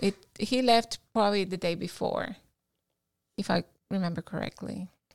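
A woman with a Cuban accent speaks at a moderate pace, her pitch medium and her intonation fairly even. The sound is dry and close with no echo, on a very clean recording with a silent background. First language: Spanish. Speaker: guest telling her life story. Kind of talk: casual interview.

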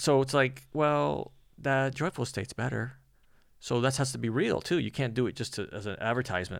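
A man with an ordinary speaking voice talks at a fairly quick pace and a medium pitch with ordinary pitch variation, on a very clean recording with a silent background. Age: 50s. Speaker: magician. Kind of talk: casual chat.

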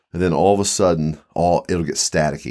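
Recorded very cleanly against a silent background, a man with an American accent speaks at a moderate pace in a very deep, low voice with ordinary pitch variation. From Mid-Atlantic US, Eastern Shore of Maryland/Virginia. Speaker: paranormal enthusiast, expedition companion. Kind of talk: casual chat.

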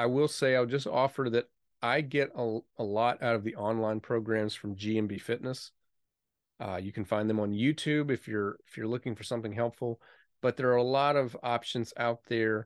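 A man talks at a moderate pace in a plain, everyday voice, medium in pitch with fairly even intonation. The sound is dry and close with no echo, and the background is quiet. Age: 40s. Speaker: music podcast host, musician. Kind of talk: solo podcast monologue. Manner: conversational with filler words.

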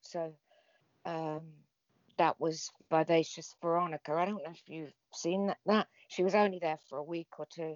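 A woman with an English accent speaks at a moderate pace, her fairly low voice monotone and flat. Her loudness swings widely, and she leaves long, frequent pauses. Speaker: former wrestling personality and author. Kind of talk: casual interview chat.

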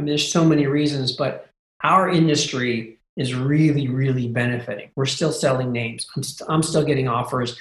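Speaking at a fairly quick pace, a man uses a fairly high, somewhat breathy voice. His intonation stays fairly even. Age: 40s. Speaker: domain investor and lead generation business owner. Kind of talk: casual interview.

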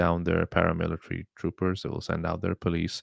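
A very deep, low male voice with a Pakistani accent, fairly quick, in a dry, close sound with no echo. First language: Urdu. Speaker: podcast host. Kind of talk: solo commentary monologue. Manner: hesitant with many fillers.

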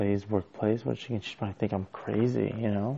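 Fairly even intonation from a man with a fairly low voice, a moderate pace and a quiet delivery. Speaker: podcaster. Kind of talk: personal solo monologue. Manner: quiet, low-voiced.

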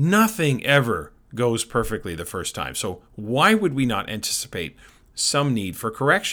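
A man's bright, sharp, medium-pitched voice with vocal fry and very wide pitch swings, in a very clean recording with a silent background. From Canada. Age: 50s. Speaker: education consultant and podcast host. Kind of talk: podcast monologue.

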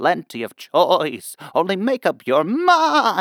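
Here a natural voice reads aloud.

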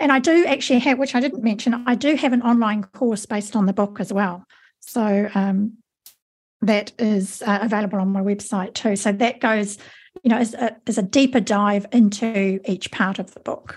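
A woman talks at a moderate pace with a fairly high pitch and ordinary pitch variation. Her voice is somewhat breathy. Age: 50s. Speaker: author and mentor. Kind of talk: interview.

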